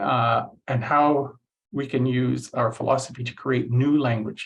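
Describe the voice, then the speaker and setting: A man with a Canadian accent talks fairly slowly at a medium pitch, somewhat breathy, with fairly even intonation. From Canada, Cree from Saskatchewan region. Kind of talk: lecture. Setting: online session. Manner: halting, many fillers.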